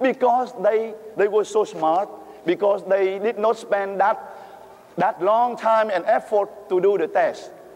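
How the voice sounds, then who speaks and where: A man with a Vietnamese accent speaks high for a man, at a fairly slow pace with ordinary pitch variation. His loudness stays very even over noticeable background noise. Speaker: priest. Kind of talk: sermon. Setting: church. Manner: halting; animated.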